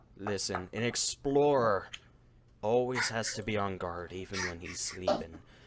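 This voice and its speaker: A put-on character voice from a man, fairly low in pitch, at a moderate pace. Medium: actual play. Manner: terse, cryptic.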